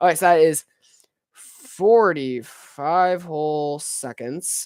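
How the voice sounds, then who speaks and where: Delivery is at a very slow pace. The recording sounds dry and close, without any echo. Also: man. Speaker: speed talker. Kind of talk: casual live stream talk.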